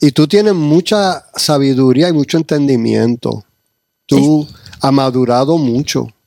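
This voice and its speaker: The sound is dry and close with no echo as a man talks at a fairly slow pace, fairly high in pitch with ordinary variation, in a dark, mellow tone with big swings in loudness. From New York / New Jersey. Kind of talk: casual chat. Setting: church.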